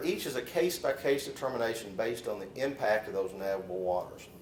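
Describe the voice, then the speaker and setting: A man with a Southern US accent speaks at a moderate pace over noticeable background noise and audible room echo. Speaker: lawyer. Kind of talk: lecture. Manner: halting, with fillers and repeats.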